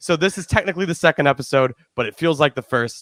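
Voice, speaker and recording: A man is heard with a dry, close sound and no echo. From Chicago suburbs, Illinois. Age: 30s. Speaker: film critic and podcast host. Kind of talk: podcast conversation.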